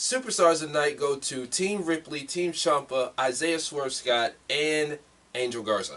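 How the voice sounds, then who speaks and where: A man with a plain, everyday voice speaks at a fairly slow pace, with a fairly high pitch and lively intonation. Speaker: wrestling podcast host. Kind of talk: casual chat.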